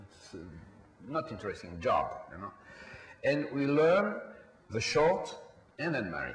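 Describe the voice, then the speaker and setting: At a moderate pace and medium pitch, a man with a French accent speaks with very wide pitch swings, amid audible room echo and noticeable background noise. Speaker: film producer. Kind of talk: panel discussion. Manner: halting.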